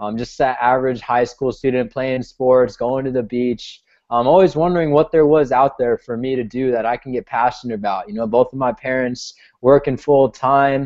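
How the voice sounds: With an American accent, a man talks at a medium pitch in a slightly mellow tone, his intonation fairly even. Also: moderate pace.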